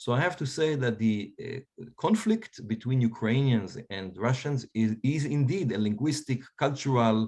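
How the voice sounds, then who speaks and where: Against a quiet background, a man with an Israeli accent talks at a moderate pace, his medium-pitched voice full of lively intonation. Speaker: historian. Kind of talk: panel discussion.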